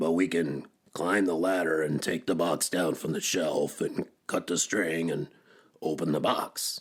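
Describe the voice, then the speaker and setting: A man's put-on character voice, raspy and very deep and low in pitch, at a moderate pace. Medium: read story. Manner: earnest, fretful.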